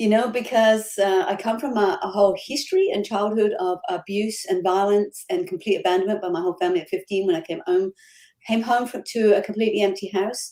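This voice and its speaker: An Australian accent at a fairly quick pace, with ordinary pitch variation. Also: woman, medium pitch for a woman. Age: 50s. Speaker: life coach. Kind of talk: interview.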